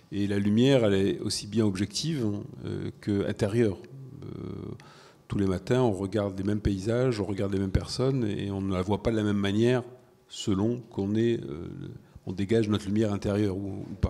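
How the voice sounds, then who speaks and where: This man has a dark, mellow tone and a fairly low pitch, with fairly even intonation. He talks at a fairly quick pace yet takes long, frequent pauses. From non-French culture. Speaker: event moderator. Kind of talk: panel discussion.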